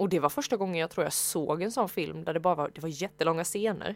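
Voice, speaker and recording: A woman with a fairly low pitch and ordinary pitch variation moves at a fairly quick pace in a normal speaking voice. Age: 20s. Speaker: podcast co-host. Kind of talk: casual chat.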